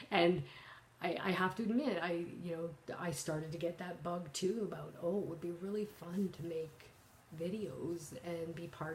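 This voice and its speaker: A woman with a Canadian accent speaks at a moderate pace in a fairly low pitch with fairly even intonation, amid noticeable background noise and audible room echo. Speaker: cross-stitch vlogger. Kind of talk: casual vlog talk. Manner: halting, many fillers.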